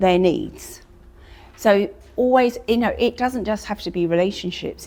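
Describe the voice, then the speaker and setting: A woman at a fairly slow pace, medium in pitch, with an unremarkable speaking voice and ordinary pitch variation. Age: 60s. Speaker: image consultant. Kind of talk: testimony.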